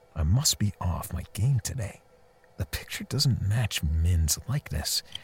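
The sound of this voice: A man in a put-on character voice talks low and fairly slow, with a husky, rough edge and big pitch swings.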